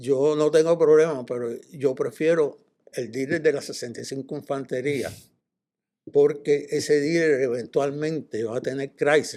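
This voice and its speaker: A man speaks at a fairly slow pace with a dark, mellow tone. His pitch sits fairly high, and his intonation stays fairly even. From Cuba, raised in Puerto Rico. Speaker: car dealership executive. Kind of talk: interview storytelling. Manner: halting, many fillers.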